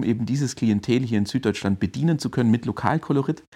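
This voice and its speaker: Recorded very cleanly against a silent background, a man with an unremarkable speaking voice talks at a fairly quick pace with ordinary pitch variation. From Swabia, Germany (Heilbronn region). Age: 30s. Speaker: digital strategy consultant. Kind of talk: interview.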